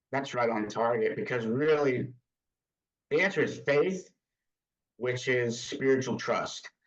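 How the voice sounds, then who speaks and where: A man speaks at a fairly slow pace with long, frequent pauses. His medium pitch shows ordinary pitch variation. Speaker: church volunteer coach and former business leader. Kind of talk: interview testimony.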